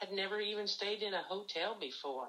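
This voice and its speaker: With a bright, sharp tone, a woman speaks at a moderate pace with ordinary pitch variation. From Missouri (Jamesport, rural northern Missouri). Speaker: retired agriculture teacher. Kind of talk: interview.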